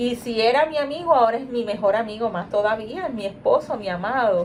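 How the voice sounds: A woman talks at a moderate pace in a fairly high pitch, her tone slightly mellow and her pitch varying in an ordinary way.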